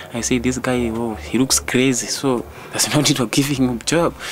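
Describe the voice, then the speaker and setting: Medium pitch from a man, ordinary pitch variation, and noticeable background noise. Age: 20s. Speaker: street youth group leader. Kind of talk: documentary interview. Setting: outdoors. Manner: halting.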